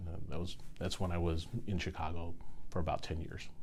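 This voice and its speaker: Through audible room echo, a man talks at a fairly quick pace. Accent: American. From US Midwest, central Illinois. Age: 60s. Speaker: state insurance commissioner. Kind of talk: interview.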